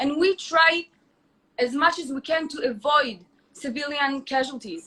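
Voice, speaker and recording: In a raised, projected voice with a bright, sharp tone, a woman with an Israeli accent speaks at a fairly slow pace, her high pitch showing ordinary variation. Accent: Israeli Hebrew. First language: Hebrew. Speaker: influencer. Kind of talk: heated debate.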